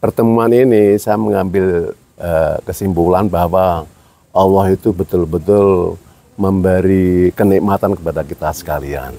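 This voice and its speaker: A man's very deep, low voice with a dark, mellow tone, ordinary pitch variation and a very slow pace. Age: 70s. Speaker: Islamic cleric and former karate organization leader. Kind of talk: casual chat. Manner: halting.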